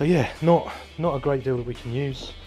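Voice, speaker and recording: A moderate pace over faint music in the background. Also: man. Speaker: renovation vlogger. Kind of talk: casual vlog chat. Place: garage. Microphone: phone near.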